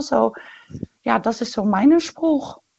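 A woman with a Dutch accent talks at a very slow pace in a fairly high pitch. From Netherlands. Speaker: caller. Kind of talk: phone-in conversation. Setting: phone call.

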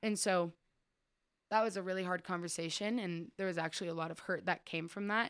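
Using an ordinary speaking voice, a woman of medium pitch talks at a fairly quick pace with fairly even intonation. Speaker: church member sharing testimony. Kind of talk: testimony. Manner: rambling, casual.

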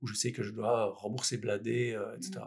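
Keeping his intonation fairly even, a man speaks at a medium pitch with vocal fry. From Belgium, Liège. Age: 40s. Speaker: entrepreneur. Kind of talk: interview. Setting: in person recording.

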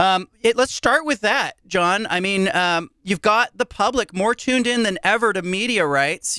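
A man speaks in a high, raised and projected voice with a bright, sharp tone, ordinary pitch variation and a moderate pace, recorded very cleanly against a silent background with a dry, close sound and no echo. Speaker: podcast host, sports columnist. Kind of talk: interview.

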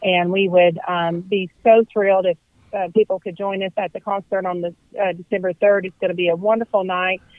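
A woman with a Southern US accent speaks at a fairly quick pace. Her intonation is monotone and flat. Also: medium pitch for a woman. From US South (Hendersonville, Tennessee). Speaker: nonprofit executive. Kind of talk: radio interview.

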